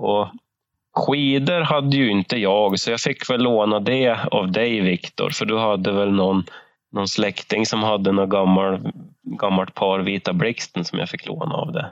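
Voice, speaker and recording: A man's ordinary speaking voice, pitched fairly low, with ordinary pitch variation and a moderate pace. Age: 30s. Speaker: podcast co-host, hunter. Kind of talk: casual chat.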